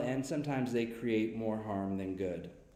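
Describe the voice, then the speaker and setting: Audible room echo surrounds a speaker with an American accent talking at a moderate pace. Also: man. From US Midwest. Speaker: school counselor. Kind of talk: prepared speech to parents. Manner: formal.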